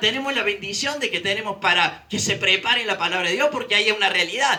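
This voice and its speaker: In a Rioplatense accent, a man with a high pitch speaks at a moderate pace in a raised, projected voice. The recording has audible room echo and noticeable background noise. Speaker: preacher. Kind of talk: sermon.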